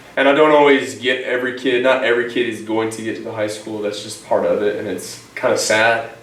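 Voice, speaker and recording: A man with an American accent speaks at a fairly quick pace in a medium pitch, his loudness swinging widely, with audible room echo and noticeable background noise. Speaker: teacher and coach. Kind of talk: interview. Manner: energetic.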